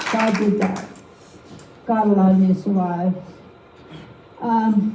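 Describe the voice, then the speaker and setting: Amid noticeable background noise and audible room echo, a woman with a medium pitch speaks fairly slowly in a monotone, flat intonation. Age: 50s. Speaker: painting demonstrator. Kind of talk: live painting demonstration with personal testimony. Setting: art league meeting with live audience. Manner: casual, conversational.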